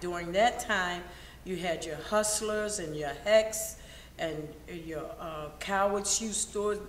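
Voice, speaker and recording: A woman with an American accent speaks at a very slow pace with ordinary pitch variation, amid noticeable background noise and audible room echo. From Baltimore, Maryland (US Mid-Atlantic). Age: 60s. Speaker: interviewee recalling history. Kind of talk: oral history interview.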